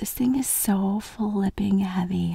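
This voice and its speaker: Very slowly, a soft-spoken woman talks in a dry sound with no echo. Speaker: ASMR creator. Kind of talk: ASMR eating video, casual talk to camera. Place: home room. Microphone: studio mic.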